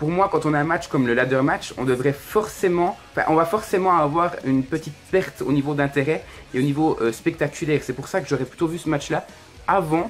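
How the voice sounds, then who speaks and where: A man's fairly high voice at a fairly quick pace, with music in the background. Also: ordinary pitch variation. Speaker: wrestling YouTuber reviewing events. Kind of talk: solo video review, casual commentary. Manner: hesitant, many fillers; fast.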